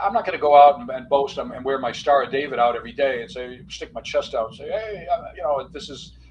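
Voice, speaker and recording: With an American accent, a man talks at a very fast pace, his loudness swinging widely over noticeable background noise. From US Midwest, Detroit. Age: 60s. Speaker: author and physician. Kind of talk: podcast interview. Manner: halting, many fillers and repeats; animated.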